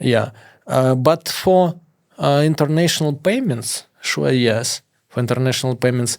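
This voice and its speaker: A man with a strong Russian accent, fairly slow pace and ordinary pitch variation. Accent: heavy Russian. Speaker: former hacker turned entrepreneur. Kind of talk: interview. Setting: studio. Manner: halting.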